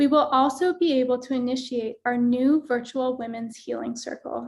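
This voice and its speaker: A woman with a high pitch and ordinary pitch variation speaks at a moderate pace. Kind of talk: fundraising appeal / event host announcement. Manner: earnest, persuasive.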